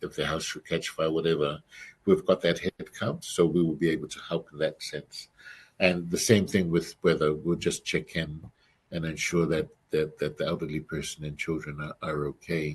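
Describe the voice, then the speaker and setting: A man with a non-native accent speaks in a very deep, low voice. His pace is moderate. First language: not English. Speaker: emergency management presenter. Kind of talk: presentation over video call. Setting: video call. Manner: halting, many fillers.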